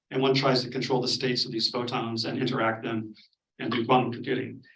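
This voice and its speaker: Audible echo from the room colors the man's voice. He speaks rather quickly. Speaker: physics professor. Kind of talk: lecture. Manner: fast; hesitant, many fillers.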